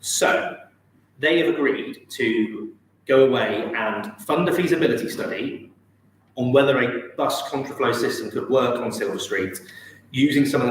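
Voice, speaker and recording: An English accent at a moderate pace, with audible room echo and noticeable background noise. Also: man. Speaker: town councillor. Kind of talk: council meeting report. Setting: council chamber, live-streamed.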